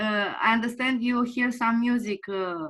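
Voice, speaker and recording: Very slowly, a woman with a non-native accent speaks at fairly high pitch in a bright, sharp tone with ordinary pitch variation. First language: not English. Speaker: remote viewing beginner. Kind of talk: question in group discussion. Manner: halting.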